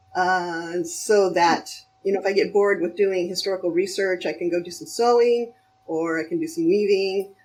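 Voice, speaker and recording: A woman's medium-pitched voice at a moderate pace with ordinary pitch variation, music in the background. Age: 50s. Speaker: costume sewing creator. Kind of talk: casual chat. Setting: voice call.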